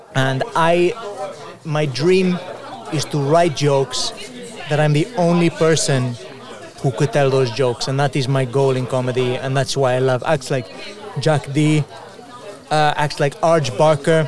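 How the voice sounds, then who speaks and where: With a Spanish accent, the speaker goes at a fairly slow pace, leaving long, frequent pauses while keeping loudness very even. Crowd noise fills the background. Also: man, fairly high pitch for a man, ordinary pitch variation. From Spain, grew up in Mallorca. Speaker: stand-up comedian; podcast guest. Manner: confident, playful, self-aggrandising humour.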